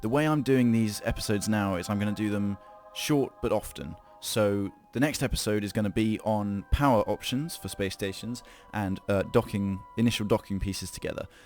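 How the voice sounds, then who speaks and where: Music plays in the background as a man with a fairly low pitch talks at a fairly quick pace with ordinary pitch variation. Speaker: gaming video creator. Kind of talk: tutorial. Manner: fast.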